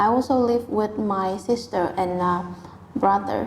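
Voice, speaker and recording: A woman's fairly high voice with a Vietnamese accent, fairly even intonation and noticeable background noise. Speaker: IELTS test candidate. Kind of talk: speaking exam interview. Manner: hesitant, with filler sounds.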